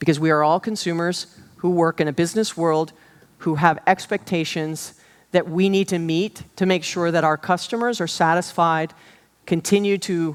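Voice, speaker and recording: A woman's ordinary speaking voice, fairly low in pitch, with fairly even intonation at a moderate pace. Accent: American. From Hawaii. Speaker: business keynote speaker. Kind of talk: keynote talk. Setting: stage with audience.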